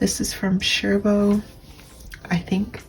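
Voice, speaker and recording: A soft-spoken woman talks very slowly with music in the background. Her intonation is flat and monotone. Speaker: fashion YouTuber. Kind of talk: casual vlog narration.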